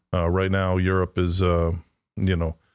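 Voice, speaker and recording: At a moderate pace, the speaker delivers everything in a flat monotone over a very clean, silent background. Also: man. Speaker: company president. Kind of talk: casual chat.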